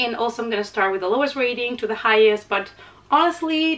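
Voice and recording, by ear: A woman speaks at a medium pitch with a fairly bright tone. Her pitch varies in an ordinary way.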